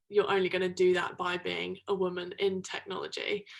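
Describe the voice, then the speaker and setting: A woman's medium-pitched voice with a British accent, flat monotone intonation and a moderate pace. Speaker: product manager in tech. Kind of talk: interview. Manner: loud; hesitant with frequent ums.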